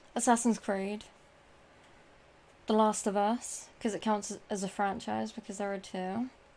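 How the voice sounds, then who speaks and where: A woman with a British accent speaks at a fairly slow, medium pitch, with flat, monotone intonation and long, frequent pauses. The recording is very clean, with a silent background. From Britain. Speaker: gaming streamer. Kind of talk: live stream Q&A. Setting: live stream with chat. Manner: casual, hesitant with fillers.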